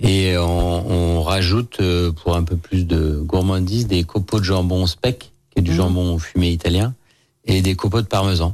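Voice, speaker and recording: Very deep and low, a man's voice moves at a fairly slow pace with fairly even intonation and very even loudness in a very clean recording with a silent background. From Lyon, France. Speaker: chef and restaurant owner. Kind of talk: casual radio interview. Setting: radio studio.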